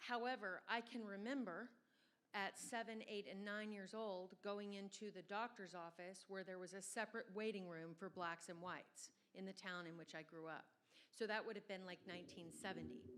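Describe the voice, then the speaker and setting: A woman with an American accent and a normal speaking voice, at medium pitch with ordinary pitch variation and a moderate pace. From Southern Virginia. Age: 50s. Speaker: event organizer. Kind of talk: audience comment.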